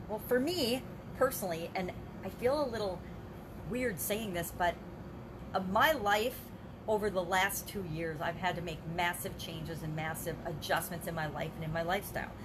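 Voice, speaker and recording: Over noticeable background noise, a woman talks at a moderate pace with ordinary pitch variation and long, frequent pauses. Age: 50s. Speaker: life coach. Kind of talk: live video monologue. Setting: livestream. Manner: casual, conversational. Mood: earnest, personal, encouraging. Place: home room. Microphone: webcam.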